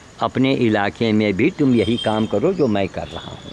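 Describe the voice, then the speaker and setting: There is noticeable background noise. A man speaks at medium pitch with ordinary pitch variation. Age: 70s. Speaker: animal welfare volunteer and vlogger. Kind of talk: impassioned appeal to viewers. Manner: animated, scolding.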